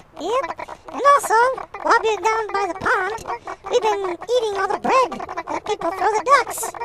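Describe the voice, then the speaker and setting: This is a put-on character voice, squeaky and extremely high in pitch. It moves at a moderate pace. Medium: read story. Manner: casual, teasing.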